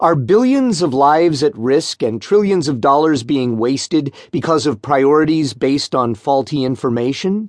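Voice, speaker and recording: In an ordinary speaking voice, a man with fairly high pitch talks at a moderate pace with lively intonation, very even loudness and hardly any pauses. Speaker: audiobook narrator. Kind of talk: audiobook narration of nonfiction, read aloud. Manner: even, measured, formal; clear and steady, expository.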